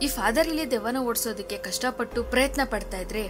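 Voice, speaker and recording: A woman speaks with ordinary pitch variation. Music plays in the background. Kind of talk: movie recap narration. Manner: casual, chatty.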